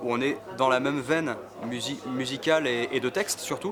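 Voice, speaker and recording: A man talks at a medium pitch as noticeable background noise carries on behind him. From Brittany, France (Quimper). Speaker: street musician. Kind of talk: interview.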